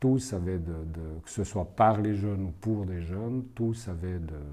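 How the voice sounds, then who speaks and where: At a very slow pace, a man speaks in a fairly low pitch with a dark, mellow tone and ordinary pitch variation. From Switzerland, Fribourg and Neuchâtel. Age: 60s. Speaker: legal consultant and youth prize juror. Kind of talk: interview answers. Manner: halting, many hesitations.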